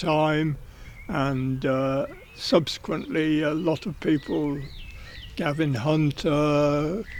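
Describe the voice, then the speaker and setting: A man with an English accent has a fairly high pitch and fairly even intonation. Noticeable background noise runs behind him. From southern England, Berkshire. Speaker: racing journalist. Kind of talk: life story interview. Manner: halting.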